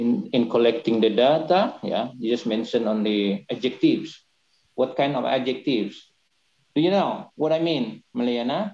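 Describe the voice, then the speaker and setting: A man with a dark, mellow tone speaks at a moderate pace in an Indonesian accent. His intonation is lively, and room echo is audible. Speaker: university lecturer, thesis reviewer. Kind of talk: academic questioning. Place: home room. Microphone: video call.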